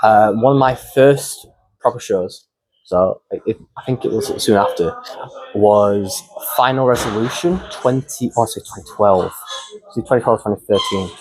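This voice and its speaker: A man with a Yorkshire accent speaks at a moderate pace, pausing long and often. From northern England, Wakefield. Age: 20s. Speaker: professional wrestler. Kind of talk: casual interview chat. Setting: backstage at a wrestling show. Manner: halting, many fillers and restarts.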